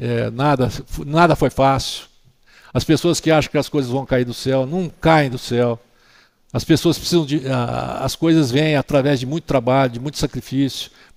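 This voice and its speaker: A man with an ordinary speaking voice talks at a moderate pace and medium pitch with fairly even intonation. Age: 60s. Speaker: orthopedic doctor. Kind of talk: interview.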